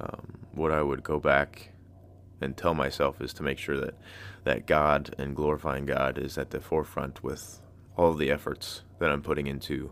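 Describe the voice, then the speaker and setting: Vocal fry runs through a man's very deep, low voice as he speaks at a moderate pace with monotone, flat intonation. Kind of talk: casual solo podcast talk with poetry reading. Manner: casual, with frequent filler words.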